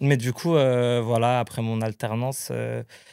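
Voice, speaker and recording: Recorded very clean with a silent background and a dry, close sound with no echo, a man speaks at a fairly slow pace in a medium pitch with fairly even intonation. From Portuguese family in France. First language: Portuguese (speaking French). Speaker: travel planner. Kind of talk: casual chat. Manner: halting.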